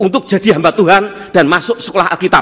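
Against a quiet background, a man speaks in a raised, projected voice. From Central Java. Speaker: pastor. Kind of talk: sermon. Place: church.

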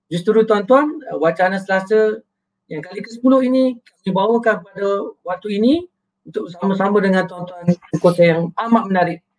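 The voice moves at a moderate pace with ordinary pitch variation and big swings in loudness over light background noise. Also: man, high pitch for a man. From Malaysia. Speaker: moderator. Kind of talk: moderated discussion. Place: home room. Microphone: webcam.

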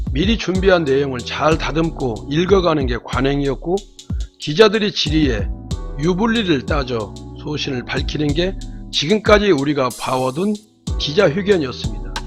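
With music playing in the background, a man's fairly high voice carries lively intonation at a moderate pace. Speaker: news commentator. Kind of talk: news commentary narration.

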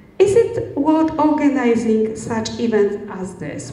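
Speaking at a very slow pace, a woman's voice carries audible room echo. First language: Polish. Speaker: event moderator. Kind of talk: panel discussion. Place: hall. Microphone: handheld.

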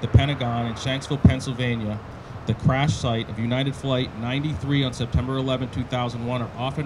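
Fairly quick speech over loud background noise. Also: man. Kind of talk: ceremony speech. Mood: solemn, respectful. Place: street. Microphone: handheld.

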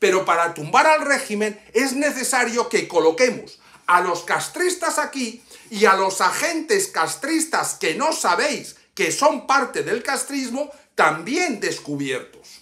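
Over a quiet background, a man in a raised, projected voice speaks at a very slow pace, his extremely high pitch making very wide swings in a bright, sharp tone. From Cuba, Havana; Cuba. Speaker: YouTuber and political activist; YouTuber. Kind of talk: personal video message. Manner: impassioned. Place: home room. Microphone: phone near.

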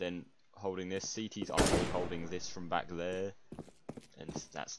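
A man with an English accent speaks in a very deep, low pitch and fairly even intonation over noticeable background noise. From England. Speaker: gamer, map playtester. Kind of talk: casual gaming chat.

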